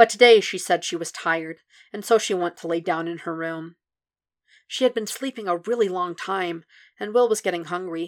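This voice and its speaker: Over a silent background in a very clean recording, a woman speaks in a plain, everyday voice at medium pitch, with ordinary pitch variation and a moderate pace. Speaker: fanfiction podfic reader. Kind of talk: literary audiobook reading of a fanfic, scripted narration.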